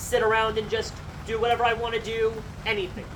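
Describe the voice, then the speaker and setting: Against noticeable background noise, the words come at a very fast pace. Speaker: bereaved son or daughter giving eulogy. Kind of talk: eulogy. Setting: memorial gathering without microphone. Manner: loud.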